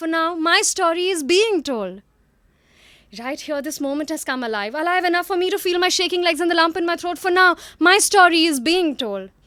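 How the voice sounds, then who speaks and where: Projecting a raised voice at an extremely high pitch, a woman speaks at a fairly quick pace in a very clean recording with a silent background. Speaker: psychologist, storyteller and spoken word poet. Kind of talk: spoken word poetry performance.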